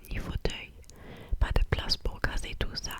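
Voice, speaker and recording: Through noticeable background noise, a woman is whispering. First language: not French (speaking French). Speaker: ASMR creator. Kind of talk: casual chat to viewers; ASMR reading aloud. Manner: soft-spoken, close to the mic; halting, many hesitations.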